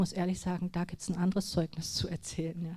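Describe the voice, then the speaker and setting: Her voice is somewhat breathy and dark and mellow, a woman at medium pitch speaking in a flat monotone. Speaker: lay speaker at church gathering. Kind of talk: personal testimony. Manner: trembling at times; halting.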